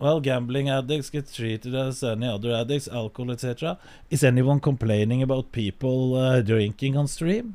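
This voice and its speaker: Speaking at a fairly quick pace with hardly any pauses, a man with a Norwegian accent has a medium pitch, a dark, mellow tone and ordinary pitch variation. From Norway. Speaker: streamer. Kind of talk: casual chat. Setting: live stream. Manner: halting.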